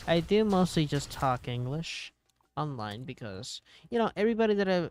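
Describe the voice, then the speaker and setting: A man with a fairly high pitch and very wide pitch swings, at a moderate pace. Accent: Spanish. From Puerto Rico. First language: Spanish. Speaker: gaming streamer. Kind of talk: casual chat. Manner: hesitant, many fillers.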